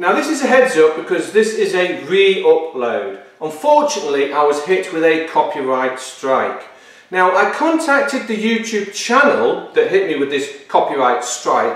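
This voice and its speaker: A man talks at a moderate pace. There is audible echo from the room. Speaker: car build vlogger. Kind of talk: casual vlog chat. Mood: mildly annoyed, explaining. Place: workshop.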